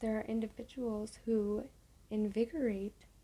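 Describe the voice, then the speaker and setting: Soft-spoken delivery unfolds at a very slow pace. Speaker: ASMR creator. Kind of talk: reading a book aloud.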